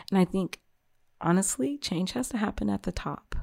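In a dry, close sound with no echo and a very clean recording over a silent background, a woman speaks at a moderate pace with a fairly low pitch. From South Carolina, Beaufort area. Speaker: mother of four. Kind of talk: casual interview.

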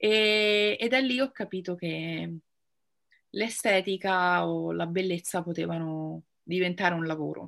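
Her voice sits at a medium pitch. The woman is heard in a very clean recording against a silent background. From central Italy (Rome, teenage years in Pescara). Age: 30s. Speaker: make-up artist and cancer patient. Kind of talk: interview testimony.

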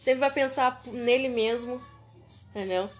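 This woman has a high-pitched voice with ordinary pitch variation. She speaks at a fairly slow pace. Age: 20s. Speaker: podcast host. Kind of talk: casual chat.

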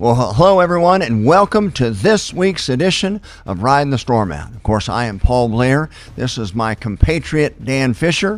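A man speaks in an American accent with very wide pitch swings and big swings in loudness. The recording is very clean, with a silent background. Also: medium pitch for a man, moderate pace. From Oklahoma. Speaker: pastor and podcast co-host. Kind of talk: casual chat.

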